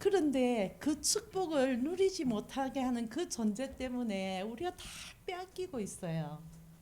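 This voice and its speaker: In a Busan accent, a woman speaks at a fairly slow pace with a high pitch and very wide pitch swings. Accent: Busan dialect (Gyeongsang). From South Korea, Busan. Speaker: missionary preacher. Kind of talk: sermon. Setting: church service.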